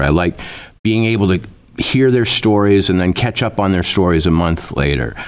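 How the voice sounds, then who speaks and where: A man with an American accent speaks in a very deep, low voice with vocal fry. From rural Minnesota. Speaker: journalist and author. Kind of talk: interview conversation.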